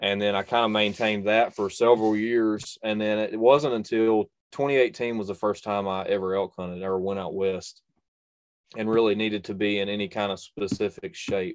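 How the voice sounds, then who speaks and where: A man with a North Carolina accent, fairly low in pitch, fairly even in intonation, at a moderate pace. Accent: Southern US (North Carolina). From North Carolina, US. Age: 20s. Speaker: bowhunter and YouTube bow reviewer. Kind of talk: casual interview chat.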